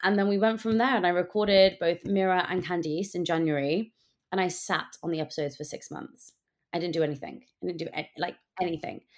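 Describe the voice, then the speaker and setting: A woman talks at a fairly quick pace, her fairly low pitch varying in an ordinary way. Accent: British. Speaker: podcast host. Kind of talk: casual chat.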